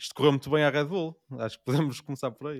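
In a European Portuguese accent, a man rushes along at a very fast pace, the recording very clean, dry and close, with no echo and a silent background. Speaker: podcast co-host. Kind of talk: casual chat.

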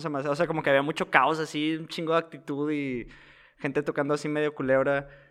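A man speaks at a very fast pace with a fairly high pitch. His intonation is monotone and flat. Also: quiet background. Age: 20s. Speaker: podcast co-host. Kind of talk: casual chat. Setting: studio.

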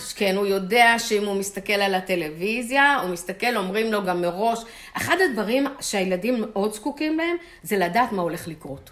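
A woman at a moderate pace with lively intonation, over noticeable background noise. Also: medium pitch for a woman. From Israel, Holon. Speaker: retired chemist. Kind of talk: interview.

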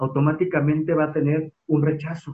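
A man at a moderate pace. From Mexico, Guadalajara. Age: 30s. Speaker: museum director. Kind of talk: interview.

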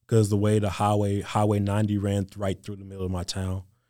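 With a Mississippi accent, a man speaks at a moderate pace and fairly low pitch in a dark, mellow tone with monotone, flat intonation, in a very clean recording with a silent background. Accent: Southern US (Mississippi). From US South, Mississippi Gulf Coast. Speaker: college football player. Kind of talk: interview.

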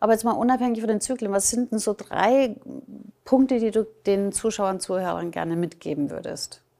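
Fairly high in pitch with a dark, mellow tone, a woman speaks at a moderate pace with ordinary pitch variation. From Germany, Nuremberg. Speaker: podcast host. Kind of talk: scripted intro; interview.

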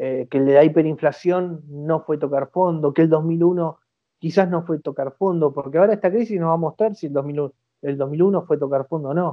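A man's intonation stays fairly level as he talks at an even, moderate speed. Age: 40s. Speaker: economist. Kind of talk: interview.

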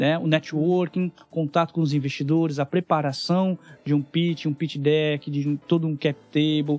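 A man's fairly high, monotone, flat delivery at a fairly slow pace, with music in the background. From interior of São Paulo state, Brazil. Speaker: startup mentor and investor. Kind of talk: podcast interview.

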